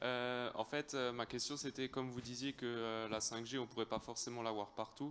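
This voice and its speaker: At a moderate pace, the speech runs with hardly any pauses, very even loudness and a monotone, flat intonation. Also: man, medium pitch for a man. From Alsace, France. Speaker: audience member, farmer. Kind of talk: audience question. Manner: halting, many hesitations.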